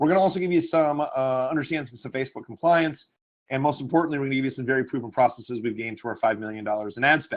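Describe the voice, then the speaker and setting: A man speaks very fast with ordinary pitch variation. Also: medium pitch for a man. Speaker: online marketing coach. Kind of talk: webinar training call.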